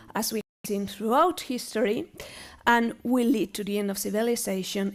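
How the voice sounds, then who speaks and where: Speaking at a moderate pace with a Spanish accent, a woman shows ordinary pitch variation. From Spain. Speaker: university professor. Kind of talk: lecture. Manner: halting.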